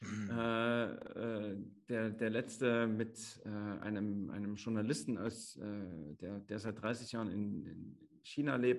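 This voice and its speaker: Here a man speaks at a very slow pace. His pitch is medium and his intonation fairly even. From Chemnitz, Saxony. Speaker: podcast co-host. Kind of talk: casual chat.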